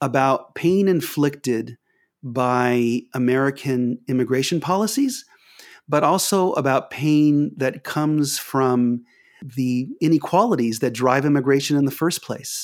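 On a very clean recording with a silent background, a man with an ordinary speaking voice talks at a fairly slow pace and a fairly high pitch, with ordinary pitch variation and very even loudness. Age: 50s. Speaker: author and professor. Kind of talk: interview with readings from his manuscript.

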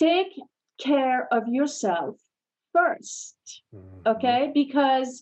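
A woman speaks with ordinary pitch variation. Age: 60s. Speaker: fitness company CEO and trainer. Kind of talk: interview.

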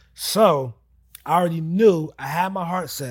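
Over a very clean recording with a silent background, a man speaks in a somewhat breathy voice with lively intonation. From US Northeast, New Jersey. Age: 30s. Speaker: real estate investor. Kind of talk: casual interview. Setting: studio.

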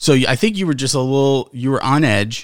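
The recording is very clean, with a silent background. A man with a normal speaking voice talks at medium pitch and a moderate pace. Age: 30s. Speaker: podcast co-host. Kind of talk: casual chat.

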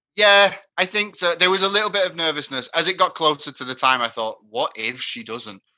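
A man with a high pitch and a bright, sharp tone talks at a fairly quick pace, his pitch swinging very widely. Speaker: fan guest. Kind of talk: casual chat. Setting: video call.

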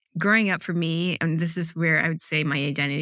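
With an American accent, a woman speaks in a fairly low pitch and a bright, sharp tone with ordinary pitch variation. The recording is very clean, with a silent background. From Michigan, US (Ann Arbor). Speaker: tech product leader and entrepreneur. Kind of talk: casual interview.

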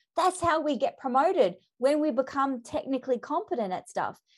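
Speaking at a moderate pace, a woman with an Australian accent has an animated tone and lively intonation. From Australia, Melbourne. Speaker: leadership development consultant and author. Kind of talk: podcast interview.

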